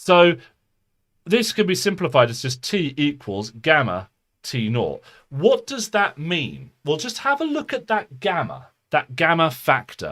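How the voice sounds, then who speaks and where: With a British accent, a man's voice moves through very wide pitch swings. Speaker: physics tutor. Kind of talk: live online tutorial. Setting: home live stream, under the stairs. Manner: fast.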